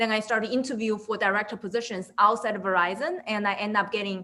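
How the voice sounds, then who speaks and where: A woman with a bright, sharp tone, fairly even intonation and a fairly quick pace. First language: not English. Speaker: product management director. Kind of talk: webinar interview.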